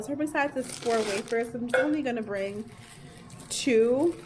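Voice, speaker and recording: Noticeable background noise sits under a woman's voice. She speaks at a fairly slow pace with a high pitch and ordinary pitch variation. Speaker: teacher vlogger. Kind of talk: casual vlog narration.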